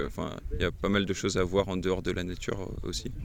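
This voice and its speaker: A man speaks at a moderate pace in a very deep, low voice. Noticeable background noise runs underneath. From Brittany, France. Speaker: mountain hut worker. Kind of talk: casual interview. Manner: hesitant, many fillers.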